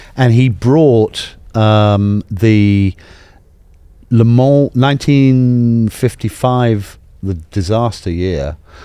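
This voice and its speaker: The voice has a dark, mellow tone, moves at a very slow pace, and shows ordinary pitch variation. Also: man, medium pitch for a man. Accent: British. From England. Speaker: automotive museum president. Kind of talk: casual chat. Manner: animated.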